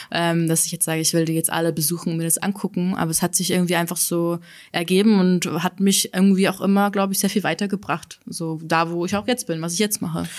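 Delivered at a very fast pace with fairly even intonation, the speech sits on a very clean recording with a silent background. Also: woman, fairly low pitch for a woman. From Bavaria, Altötting area. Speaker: social media educator and podcaster. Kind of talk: casual interview. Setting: studio.

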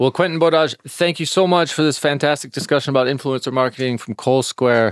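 A man speaks with an ordinary speaking voice at a fairly quick pace, his fairly high pitch showing ordinary pitch variation. The sound is dry and close, with no echo. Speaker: podcast host. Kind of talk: interview. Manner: casual, many fillers.

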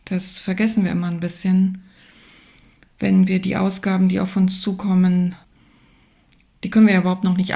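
A woman speaks at medium pitch and a moderate pace, her tone dark, mellow and somewhat breathy. Her intonation stays monotone and flat. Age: 50s. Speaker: economist, researcher. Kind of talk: panel discussion. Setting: remote call.

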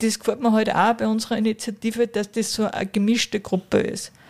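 In a very clean recording with a silent background, a woman speaks in a fairly high, monotone voice with flat intonation. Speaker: business executive. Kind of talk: interview. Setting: historic railway carriage.

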